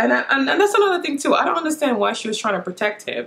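Her voice high-pitched, a woman speaks with very wide pitch swings. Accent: Jamaican. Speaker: beauty vlogger. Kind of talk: casual talk to camera. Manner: chatty. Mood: opinionated, mildly exasperated. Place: home room. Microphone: camera far.

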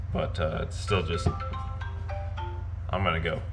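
A man's very deep, low voice at a moderate pace, over noticeable background noise. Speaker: snowmobile rider vlogger. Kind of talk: casual vlog chat. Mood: relaxed, resigned. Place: garage. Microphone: phone near.

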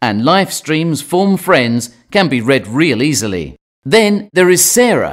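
A man with a British accent talks at a very slow pace and a fairly high pitch. His pitch swings very widely. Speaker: narrator. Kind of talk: scripted narration. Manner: calm.

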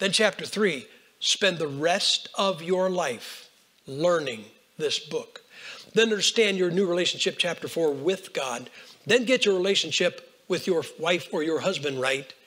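Talking at a fairly slow pace, a man uses a high pitch with ordinary pitch variation. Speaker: preacher. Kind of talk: sermon. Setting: church. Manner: animated.

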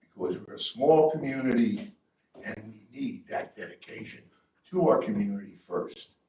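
A man speaks at a moderate pace, his loudness swinging widely. Audible room echo surrounds his voice. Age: 80s+. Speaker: public commenter. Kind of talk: public comment at council meeting.

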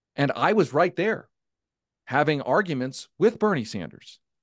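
A man speaks with an animated tone and lively intonation at a moderate pace. The sound is dry with no echo, and the background is quiet. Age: 40s. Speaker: political journalist and former campaign staffer; political journalist. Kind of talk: live virtual event discussion. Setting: video call. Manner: long-winded. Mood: frustrated, candid. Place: home room. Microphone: studio mic.

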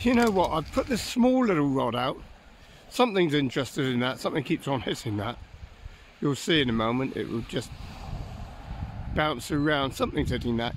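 A man's pitch swings very widely as he talks at a moderate pace with long, frequent pauses, in a dry sound with no echo and light background noise. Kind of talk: casual vlog chat. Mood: cheerful, amused. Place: beach. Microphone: phone near.

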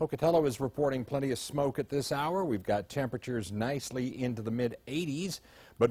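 A man speaks in a dark, mellow, somewhat breathy tone. The recording is very clean, with a silent background. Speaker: weather forecaster. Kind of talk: newsreading, weather forecast. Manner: brisk, polished, professional broadcast delivery.

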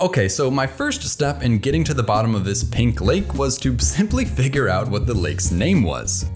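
A man at a fairly low pitch, moderate pace and hardly any pauses, with clear music in the background. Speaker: educational video host. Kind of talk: scripted explainer narration. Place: home room.

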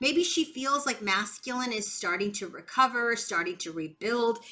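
Speaking fairly slowly, a woman is accompanied by faint background music. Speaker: tarot reader. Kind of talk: tarot reading commentary.

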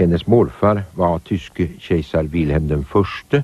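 With a very deep, low pitch and a dark, mellow tone, a man talks at a very slow pace, using lively intonation and vocal fry. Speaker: narrator. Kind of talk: scripted narration.

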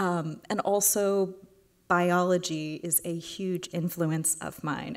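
A woman speaks in a normal speaking voice with an American accent and a fairly low pitch. Her intonation is fairly even, and the background is quiet. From Houston, Texas. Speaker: artist. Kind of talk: lecture; Q&A answer. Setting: stage with audience. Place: hall.

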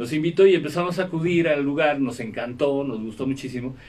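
A man's plain, everyday voice, fairly high-pitched, at a moderate pace with ordinary pitch variation. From Mexico. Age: 60s. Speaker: rock musician. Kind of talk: interview. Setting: radio studio. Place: studio. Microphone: studio mic.

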